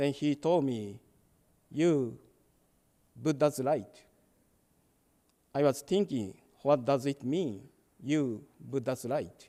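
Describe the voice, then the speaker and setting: A man's fairly high voice with a Japanese accent, dark, mellow tone, ordinary pitch variation, a very slow pace, and long, frequent pauses. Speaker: Buddhist minister. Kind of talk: dharma talk. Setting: temple service, hybrid in-person and online.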